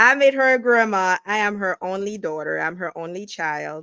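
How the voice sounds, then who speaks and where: A woman with a strong Haitian accent speaks at a moderate pace with ordinary pitch variation and a bright, sharp tone. The recording is very clean and dry, close with no echo, and the background is silent. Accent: Haitian Creole accent, still strong. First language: Haitian Creole. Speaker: realtor. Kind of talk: interview.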